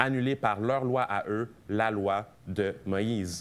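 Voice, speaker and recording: A man speaks with ordinary pitch variation. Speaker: preacher. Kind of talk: sermon.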